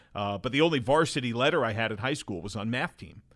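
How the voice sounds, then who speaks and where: Recorded very cleanly against a silent background, a man with an American accent speaks at a fairly quick pace and medium pitch in an ordinary speaking voice. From New Jersey. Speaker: TV baseball play-by-play announcer. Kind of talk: casual interview chat.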